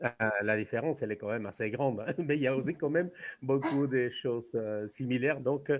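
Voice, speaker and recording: A man with a Spanish accent, fairly quick in pace, with ordinary pitch variation. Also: medium pitch for a man. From Mexico. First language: Spanish (speaking French). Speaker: tour guide. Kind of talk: online conference talk.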